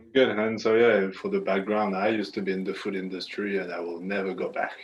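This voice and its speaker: The speech comes very fast in a French accent with monotone, flat intonation and big swings in loudness, with audible room echo and noticeable background noise. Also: man, fairly low pitch for a man. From France. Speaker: aspiring consultant, former pastry chef. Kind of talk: casual Q&A conversation.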